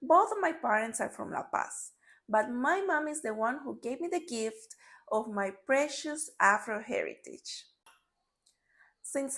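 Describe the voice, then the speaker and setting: A woman with a high-pitched voice talks at a fairly slow pace with very wide pitch swings, recorded very cleanly against a silent background. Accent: Spanish. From Bolivia, Santa Cruz. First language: Spanish. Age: 30s. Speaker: storyteller. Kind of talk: scripted narration.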